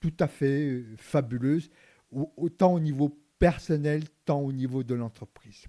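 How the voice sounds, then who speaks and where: A man speaks very slowly in a fairly high pitch with a dark, mellow tone and ordinary pitch variation, the sound dry and close with no echo. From Vietnam, raised largely in France. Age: 60s. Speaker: retired executive turned entrepreneur. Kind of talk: interview. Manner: halting, many repetitions and fillers.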